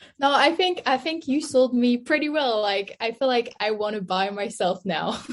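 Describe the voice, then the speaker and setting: A woman with a high pitch and lively intonation speaks at a moderate pace. Noticeable background noise is present. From France. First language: French. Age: 20s. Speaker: nutritionist. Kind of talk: interview.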